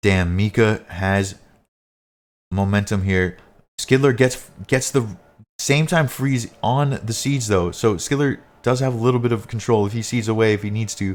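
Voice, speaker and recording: A man's moderate-paced speech is captured on a very clean recording with a silent background. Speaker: live esports shoutcaster / commentator.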